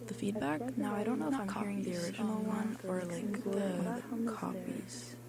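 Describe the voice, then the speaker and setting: Soft-spoken speech comes at a moderate pace with hardly any pauses, over noticeable background noise. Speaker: radio host. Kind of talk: solo on-air monologue. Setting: radio studio.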